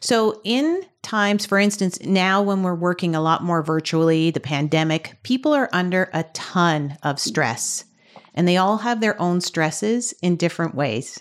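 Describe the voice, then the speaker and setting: An ordinary speaking voice from a woman with a Canadian accent, fairly low in pitch with ordinary pitch variation, at a fairly slow pace, on a very clean recording with a silent background. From Canada, Ontario (Burlington). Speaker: tech industry manager. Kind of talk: interview.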